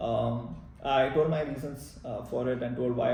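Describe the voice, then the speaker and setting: Medium-pitched man amid audible room echo and noticeable background noise. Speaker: MBA applicant sharing experience. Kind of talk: personal vlog narration. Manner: fast; hesitant with many fillers.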